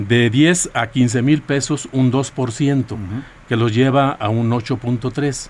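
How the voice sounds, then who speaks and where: Speaking at a very slow pace, a man keeps his intonation fairly even. His pitch is medium. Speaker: teachers' union leader. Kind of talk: interview. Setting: radio studio. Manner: halting.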